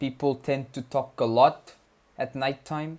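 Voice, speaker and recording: In a Keralan accent, a man speaks at a fairly high pitch with monotone, flat intonation. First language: Malayalam. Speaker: study streamer. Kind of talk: casual live-stream chat. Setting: live stream at night. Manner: casual, hesitant with repetitions.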